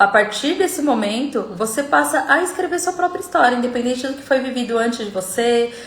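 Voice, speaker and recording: A woman's fairly high-pitched voice, with audible room echo and noticeable background noise. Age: 40s. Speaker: self-development coach. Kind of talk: live stream talk. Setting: live stream video call.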